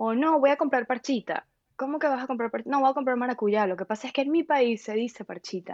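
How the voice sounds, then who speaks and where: A woman talks very fast in a high voice whose pitch varies in an ordinary way. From Venezuela, Valencia. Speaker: philosopher. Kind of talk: interview.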